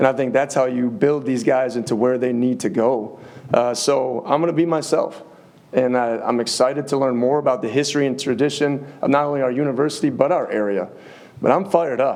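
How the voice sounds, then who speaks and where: Over noticeable background noise and audible room echo, a man with an American accent talks at a fairly quick pace, his medium pitch showing ordinary variation. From US Midwest, Upper Peninsula of Michigan. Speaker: college football head coach. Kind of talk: press conference.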